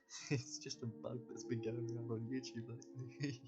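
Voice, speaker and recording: Music plays in the background as a man talks at a moderate pace and medium pitch with lively intonation. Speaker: YouTuber. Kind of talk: casual vlog monologue. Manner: halting.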